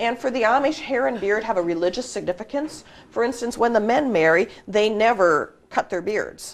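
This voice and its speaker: Her intonation is lively and her pitch fairly high. This woman speaks at a moderate pace. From US Midwest, southern Minnesota. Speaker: mystery writer. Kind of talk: interview.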